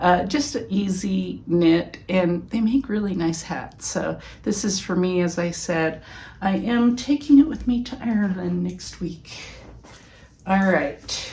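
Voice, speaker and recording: A woman speaks at medium pitch. Audible room echo surrounds her voice. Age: 50s. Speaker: knitting podcaster. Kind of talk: casual chat. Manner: casual, halting with fillers.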